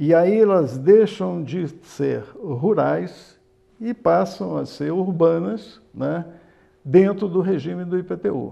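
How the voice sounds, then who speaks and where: The background is quiet. A man talks very slowly. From Nova Friburgo area, Rio de Janeiro state, Brazil; Rio de Janeiro state, Brazil. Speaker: municipal finance official, former banker; guest. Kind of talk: TV interview. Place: studio. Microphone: lapel.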